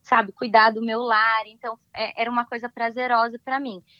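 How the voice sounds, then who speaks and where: A woman with a normal speaking voice, fairly high pitch and moderate pace. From Brazil, São Paulo state (São José dos Campos). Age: 30s. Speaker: immigrant sharing experience. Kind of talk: interview.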